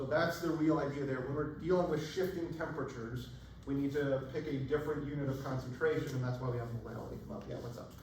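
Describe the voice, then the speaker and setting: Amid noticeable background noise and audible room echo, a man talks very fast in a fairly high voice. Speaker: chemistry professor. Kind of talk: lecture. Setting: classroom with students. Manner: animated.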